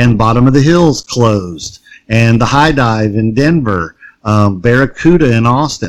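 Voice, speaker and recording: A plain, everyday voice at a fairly slow pace, with lively intonation and very even loudness. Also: man, medium pitch for a man. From US South. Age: 40s. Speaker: punk musician. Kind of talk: casual chat. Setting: remote call.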